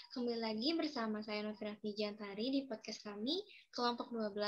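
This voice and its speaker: This woman talks with pitch that rises and falls in an ordinary way. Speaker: student podcast host. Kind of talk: casual student podcast hosting. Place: home room. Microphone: video call.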